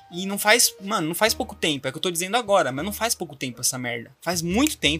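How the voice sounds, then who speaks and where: A man speaks at a fairly high pitch with very wide pitch swings. Music plays in the background. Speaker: student vlogger. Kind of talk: casual monologue.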